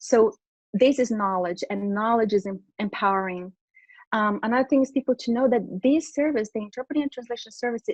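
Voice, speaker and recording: Recorded with a dry, close sound and no echo, a woman with a Portuguese accent talks at a fairly quick pace in a fairly high pitch with ordinary pitch variation. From Brazil. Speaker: interpreter and translation business owner. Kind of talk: interview.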